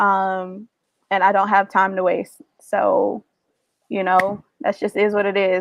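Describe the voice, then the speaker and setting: Very slow and flat, a woman with an American accent speaks at a medium pitch in a monotone, with long, frequent pauses and a dry, close sound with no echo. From US South, Georgia (Warner Robins). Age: 20s. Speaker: dating show contestant. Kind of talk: casual chat.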